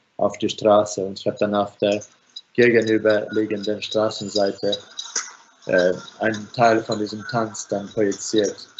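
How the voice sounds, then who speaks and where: A man talks at a fairly slow pace and fairly low pitch, in a Finnish accent. His intonation is monotone and flat, with light background noise. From Finland. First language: Finnish (speaking German). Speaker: architect and filmmaker; architect lecturer. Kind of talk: online lecture; lecture. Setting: video call. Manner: halting. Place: home room. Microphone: video call.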